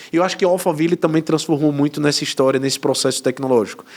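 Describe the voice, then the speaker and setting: In a northeastern Brazilian accent, a man speaks with ordinary pitch variation. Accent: northeastern Brazilian (Sergipe). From Sergipe, northeastern Brazil. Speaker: podcast host, tech company co-founder. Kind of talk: interview podcast.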